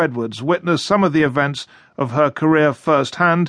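Here is a man with an ordinary speaking voice, fairly high in pitch with ordinary pitch variation. He talks at a fairly quick pace against a quiet background. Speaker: radio news presenter. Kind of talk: radio news presenting. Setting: studio. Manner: formal, brisk, authoritative.

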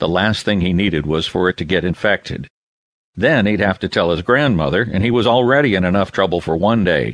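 A man speaks at a fairly quick pace in a very deep, low pitch. His loudness stays very even against a quiet background. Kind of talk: audiobook narration of a children's novel. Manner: smooth, measured storytelling pace with shifting character voices, expressive in dialogue.

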